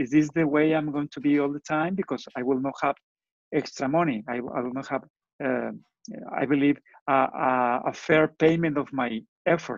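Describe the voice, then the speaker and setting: A man speaks at a moderate pace with a fairly high pitch. Long pauses come often. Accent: Spanish. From Mexico. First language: Spanish. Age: 50s. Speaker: entrepreneur and engineer. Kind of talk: interview.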